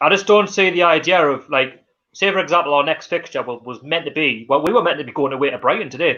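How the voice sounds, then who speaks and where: A man speaks at a very fast pace in a Geordie accent. His bright, sharp tone sits at a fairly high pitch with ordinary pitch variation. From North East England (Newcastle). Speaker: football fan channel host. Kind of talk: live stream chat. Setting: live stream. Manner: halting.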